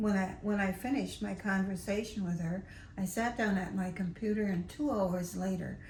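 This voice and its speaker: A woman's fairly even intonation is heard with audible room echo around it. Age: 80s+. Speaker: novelist. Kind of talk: interview.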